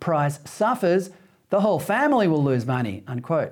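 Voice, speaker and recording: A man with an Australian accent speaks at a fairly high pitch with very wide pitch swings, on a very clean recording with a silent background. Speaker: TV talk show host. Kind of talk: scripted opinion monologue. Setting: TV studio.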